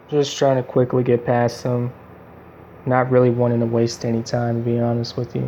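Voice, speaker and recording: This man speaks at a medium pitch with a dark, mellow tone. His intonation is monotone and flat. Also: moderate pace. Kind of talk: casual gameplay commentary.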